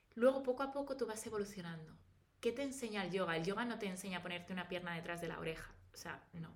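Very fast and full of lively intonation, a woman talks at a medium pitch. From Spain, Valladolid. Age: 30s. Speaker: pharmaceutical professional and wellness influencer. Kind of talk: casual interview chat. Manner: articulate.

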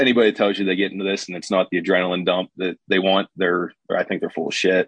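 A man with a plain, everyday voice, fairly low in pitch, at a fairly quick pace. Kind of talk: casual chat.

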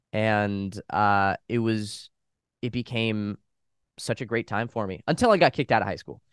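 A man with an American accent speaks at a moderate pace with ordinary pitch variation. The recording sounds dry and close, with no echo. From Los Angeles, US. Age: young. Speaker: YouTube reaction video cast member. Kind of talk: casual interview chat.

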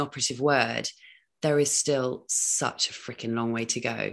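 A woman speaks in a British accent with ordinary pitch variation. The background is quiet. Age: 40s. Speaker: podcast host. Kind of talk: casual interview chat. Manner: animated.

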